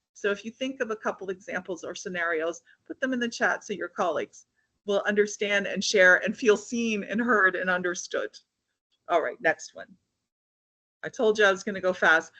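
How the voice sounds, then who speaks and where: A woman speaks at medium pitch with ordinary pitch variation. Her tone is bright and sharp, and the sound is dry and close with no echo. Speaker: HR consultant speaker. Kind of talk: webinar presentation. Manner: fast; energetic.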